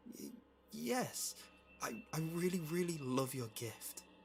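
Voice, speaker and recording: Putting on a character voice, a man speaks fairly slowly in a shaky, fairly high pitch with very wide pitch swings, music playing in the background. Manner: shaky, stammering, forced.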